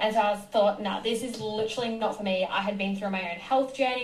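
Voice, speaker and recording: A woman at a medium pitch with an Australian accent, talking at a fairly quick pace amid noticeable background noise and audible room echo. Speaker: nutritionist. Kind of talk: podcast interview.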